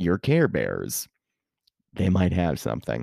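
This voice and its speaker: With an American accent, a man speaks at a fairly slow pace with vocal fry. The sound is dry and close, with no echo. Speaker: podcast host. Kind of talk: podcast intro monologue; interview.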